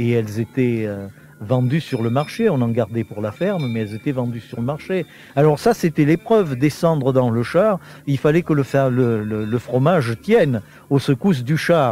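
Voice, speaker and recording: Over noticeable background noise, a man with a medium pitch talks at a moderate pace with lively intonation. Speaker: teacher and historian. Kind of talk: interview answer. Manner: explanatory, hesitant with fillers.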